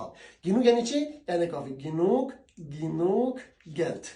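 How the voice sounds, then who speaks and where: With an Afghan accent, a high-pitched man speaks at a moderate pace, his pitch swinging very widely in audible room echo. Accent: Afghan Dari (Kabuli) Persian. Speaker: language teacher. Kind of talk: tutorial. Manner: casual.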